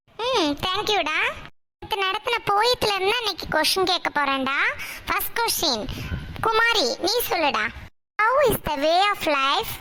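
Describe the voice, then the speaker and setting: A woman puts on a cartoonish character voice. It sits at an extremely high pitch with lively intonation. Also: fairly slow pace. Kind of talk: cartoon classroom comedy. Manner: brisk, authoritative, mixes English into Tamil.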